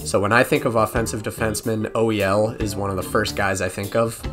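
Music plays in the background. The man speaks at medium pitch. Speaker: gaming video creator. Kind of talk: gaming commentary voiceover.

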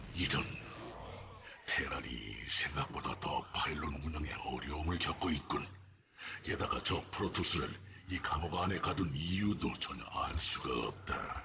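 A man puts on a solemn character voice, very deep and low, with ordinary pitch variation and very even loudness over clear background noise. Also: moderate pace. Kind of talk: heroic game unit voice. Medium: video game. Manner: solemn, formal.

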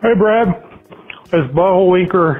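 Using a put-on character voice, a man talks at a high pitch. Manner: comedic, pretend.

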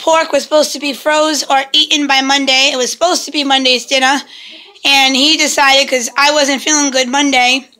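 A woman's raised, projected voice, high in pitch, keeps a fairly even intonation at a moderate pace. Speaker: family vlogger. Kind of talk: casual vlog. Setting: at home.

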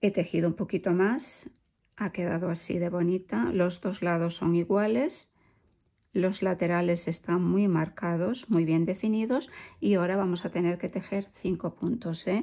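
A woman's fairly low pitch and dark, mellow tone, fairly slow pace, ordinary pitch variation. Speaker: crochet youtuber. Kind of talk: tutorial.

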